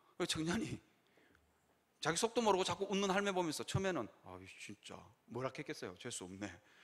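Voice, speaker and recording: A man speaks at a fairly quick pace in a high voice, his loudness swinging widely. His pitch rises and falls across a very wide range, broken by long, frequent pauses. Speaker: pastor. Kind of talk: sermon. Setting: church. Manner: fast.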